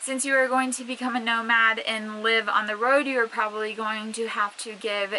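A woman talks at a moderate speed as light noise sits in the background. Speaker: van life vlogger. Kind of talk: casual vlog tutorial. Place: car. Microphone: phone near.

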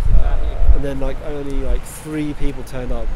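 A man's fairly slow speech, dry with no echo, over noticeable background noise. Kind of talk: interview answer. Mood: relaxed, slightly wry. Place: street. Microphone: handheld.

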